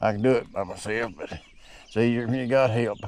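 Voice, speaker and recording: A man talks in an Appalachian accent with ordinary pitch variation. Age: 60s. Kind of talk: casual how-to demonstration. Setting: outdoors. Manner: casual, folksy.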